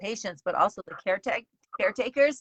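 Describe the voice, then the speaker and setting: Here is a woman with a normal speaking voice, pitched fairly high. Her intonation is lively and her pace moderate. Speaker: cancer show host, colon cancer survivor. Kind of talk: interview host talk.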